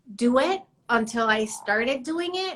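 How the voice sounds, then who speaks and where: A bright, sharp tone in a Spanish accent. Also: woman. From Mexico City. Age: 50s. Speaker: artist. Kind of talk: casual chat. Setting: live stream.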